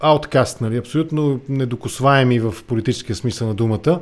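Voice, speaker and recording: A man speaks at a moderate pace with lively intonation in an ordinary speaking voice. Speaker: podcast host. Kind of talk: political interview.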